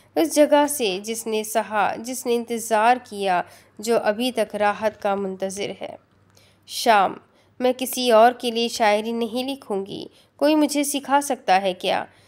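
Very clean recording over a silent background, a woman with a fairly high pitch, ordinary pitch variation and an ordinary speaking voice. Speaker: audiobook narrator, novel reader on a YouTube channel. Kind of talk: audiobook-style reading of a novel, with a poem passage.

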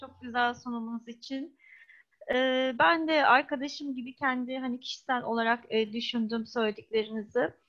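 Against a quiet background, a woman speaks in a high voice with ordinary pitch variation and big swings in loudness. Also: moderate pace. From grew up abroad, Turkish diaspora. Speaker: audience member. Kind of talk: audience question. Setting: video call. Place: home room. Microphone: earbuds.

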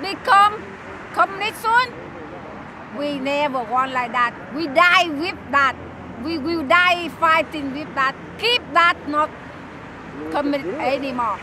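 With a Vietnamese accent, this raised, projected voice moves at a very slow pace with long, frequent pauses and lively intonation over noticeable background noise. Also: woman, high pitch for a woman, dry sound with no echo. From South Vietnam. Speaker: torture survivor, protester; interviewee. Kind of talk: street interview. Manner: halting; impassioned. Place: open country. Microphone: handheld.

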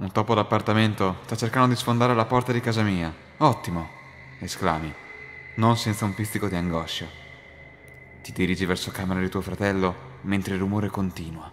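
Music plays behind a man with a fairly low pitch and ordinary pitch variation. He talks at a fairly quick pace but with long, frequent pauses. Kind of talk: scripted creepypasta narration in second person, told as a ghost story.

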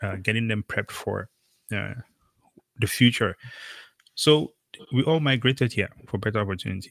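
A man with a Cameroonian accent talks at a moderate pace and medium pitch, his fairly bright tone carrying vocal fry and ordinary pitch variation in a dry, close sound with no echo.

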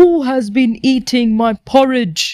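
Someone delivers lines fairly slowly in a put-on character voice. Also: woman. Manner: growling.

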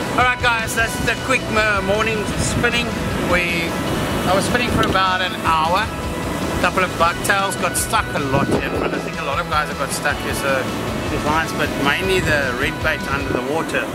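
A man at a moderate pace, dry sound with no echo, loud music playing in the background. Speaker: presenter. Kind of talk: tutorial. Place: waterside.

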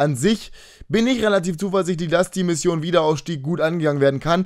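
A man with a fairly high pitch and ordinary pitch variation talks over a quiet background. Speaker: gaming YouTuber. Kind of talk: casual monologue video. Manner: fast. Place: home room. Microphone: webcam.

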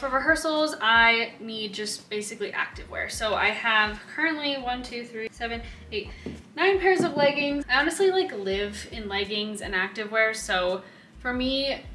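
A woman at a moderate pace, with audible room echo and light background noise. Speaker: cruise ship dancer vlogger. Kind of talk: casual vlog chat. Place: home room. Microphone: camera far.

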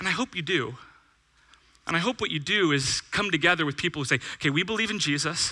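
With an American accent, a man speaks fairly quickly in an animated, bright, sharp tone against a quiet background. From California, Bakersfield; California. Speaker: pastor. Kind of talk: sermon. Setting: church with audience. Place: church. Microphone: headset.

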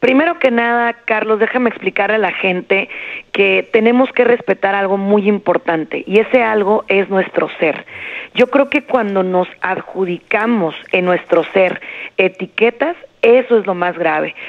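A woman speaks at a fairly slow pace, at a medium pitch with ordinary pitch variation. She has an ordinary speaking voice. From Jerez, Zacatecas, Mexico. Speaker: psychologist. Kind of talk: interview advice.

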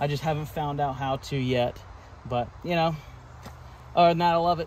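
A man with ordinary pitch variation, dry sound with no echo, and noticeable background noise. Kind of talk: casual tour commentary. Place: garden. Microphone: phone near.

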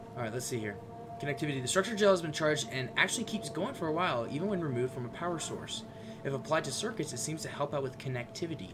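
Very fast male speech with lively intonation, over music in the background. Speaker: gaming video creator. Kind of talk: let's play commentary. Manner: animated. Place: home room.

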